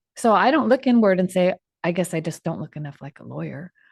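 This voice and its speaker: At a very fast pace, a woman with a fairly low pitch talks with lively intonation and vocal fry against a quiet background. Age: 60s. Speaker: trial lawyer, podcast co-host. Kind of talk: live podcast discussion. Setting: studio, live stream.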